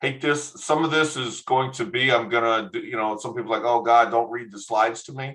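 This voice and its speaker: A bright, sharp tone with a Texan accent at a fairly quick pace. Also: man. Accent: Texan American English. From Texas. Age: 50s. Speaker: education non-profit director. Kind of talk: online workshop presentation. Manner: hesitant, many fillers.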